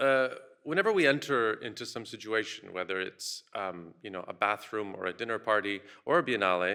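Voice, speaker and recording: A bright, sharp tone on a very clean recording with a silent background. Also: man. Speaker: curator and critic giving keynote. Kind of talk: conference keynote talk. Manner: fast when excited.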